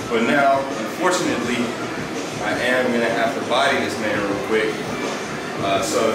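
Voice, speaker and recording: A man amid loud background noise and audible room echo. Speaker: fitness vlogger. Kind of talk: casual vlog chat. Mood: playful, joking. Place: garage.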